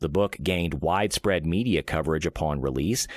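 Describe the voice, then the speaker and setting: In a very clean recording with a silent background, a man speaks with vocal fry and lively intonation. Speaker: voice actor. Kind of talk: sleep-aid reading of an encyclopedia article.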